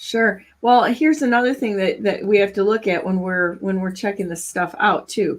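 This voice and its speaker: Speaking with an Upper Midwest US accent, a woman uses a medium pitch and ordinary pitch variation. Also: moderate pace, hardly any pauses. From Michigan. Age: 60s. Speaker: talk show host. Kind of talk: casual chat.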